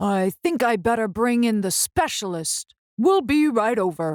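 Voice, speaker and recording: On a very clean recording with a silent background, a woman mumbles in a put-on character voice at a moderate pace. Her fairly high pitch moves in very wide swings. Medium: read story. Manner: fussy, mumbling.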